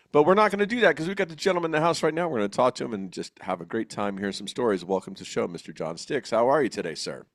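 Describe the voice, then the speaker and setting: Very fast male speech at medium pitch, with vocal fry, very wide pitch swings and hardly any pauses. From New Jersey. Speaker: podcast host. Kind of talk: casual interview chat. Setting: studio, co-host next to him.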